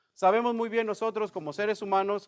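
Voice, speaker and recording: This man is heard with a dry, close sound and no echo at all. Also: quiet background. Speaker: bible study teacher. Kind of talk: bible study class. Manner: conversational, many filler words.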